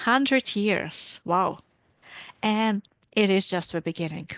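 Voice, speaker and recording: Her sound dry and close with no echo, a woman with a Latvian accent speaks at a medium pitch with ordinary pitch variation over a quiet background. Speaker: physics professor. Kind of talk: lecture.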